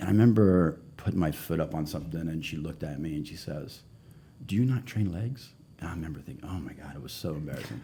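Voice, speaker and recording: Talking at a very fast pace, a man with a very deep, low pitch uses lively intonation and vocal fry. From England, moved to US as a child. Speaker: gym owner and bodybuilder. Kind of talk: interview. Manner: halting, with many restarts.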